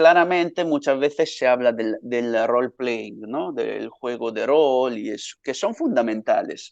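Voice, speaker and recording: A man with an Italian accent, at a fairly slow pace with hardly any pauses. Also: medium pitch for a man, ordinary pitch variation. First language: Italian (speaking Spanish). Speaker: academic researcher. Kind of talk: lecture. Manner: hesitant, many fillers.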